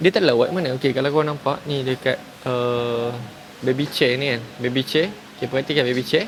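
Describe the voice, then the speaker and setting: A man at a medium pitch, fairly quick pace and ordinary pitch variation, with noticeable background noise. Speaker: vlogger. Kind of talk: casual vlog. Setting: outdoors. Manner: loud.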